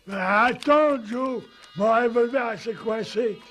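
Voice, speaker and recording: This cartoonish character voice moves at a fairly slow pace. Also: man, extremely high pitch for a man. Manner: slow, innocent.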